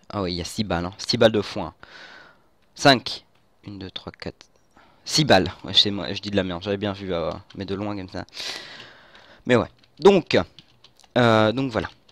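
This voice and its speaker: A man with a fairly low pitch speaks at a moderate pace, taking long, frequent pauses, his loudness swinging widely and his pitch varying in an ordinary way. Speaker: gaming youtuber. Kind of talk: gameplay commentary. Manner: halting.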